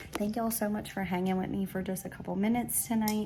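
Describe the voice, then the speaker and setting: Soft-spoken, a woman talks over noticeable background noise. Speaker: craft YouTuber. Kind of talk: casual haul vlog. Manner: soft-spoken, talking low; animated.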